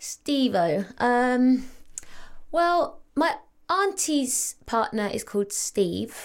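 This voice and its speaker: A high-pitched woman's voice in an English accent, very slow, with very wide pitch swings. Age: 30s. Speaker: actress and reality star. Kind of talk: casual chat.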